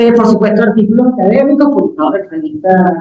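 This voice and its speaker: A woman's fairly high voice, very fast pace and lively intonation. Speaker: university professor and researcher. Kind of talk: academic talk. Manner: hesitant fillers.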